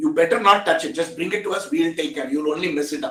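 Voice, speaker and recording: A man speaks with an Indian accent. His pitch is high and his intonation lively. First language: an Indian language. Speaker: technology expert. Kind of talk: interview discussion. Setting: video call.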